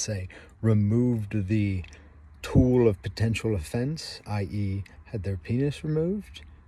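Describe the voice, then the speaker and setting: A man speaks at a fairly slow pace with a fairly low pitch and a somewhat breathy, dark, mellow tone. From England. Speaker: vlogger. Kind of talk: casual monologue. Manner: halting, with many fillers.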